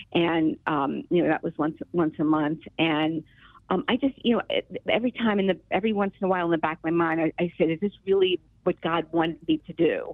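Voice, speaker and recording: A woman with an American accent talks in a normal speaking voice at a fairly quick pace, her fairly low pitch moving with ordinary variation. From US Northeast, Philadelphia. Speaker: retired healthcare worker. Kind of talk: testimony. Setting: phone call.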